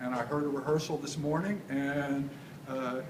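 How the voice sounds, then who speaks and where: A man's fairly high pitch with an American accent at a moderate pace, amid noticeable background noise and audible room echo. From Texas. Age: 70s. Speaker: composer. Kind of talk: casual talk to audience. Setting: live event with audience. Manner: halting, many fillers.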